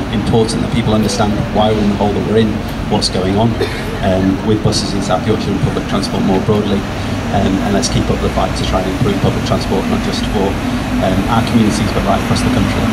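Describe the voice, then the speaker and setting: Loud background noise surrounds a man talking at a very fast pace. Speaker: politician addressing a rally. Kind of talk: rally speech. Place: street. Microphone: handheld.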